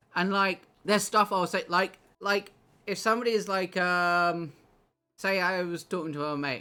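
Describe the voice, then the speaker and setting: A bright, sharp tone carries at a moderate pace. The recording is very clean with a silent background. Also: man. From England, just outside London. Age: 30s. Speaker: game streamer. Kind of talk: casual chat. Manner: relaxed.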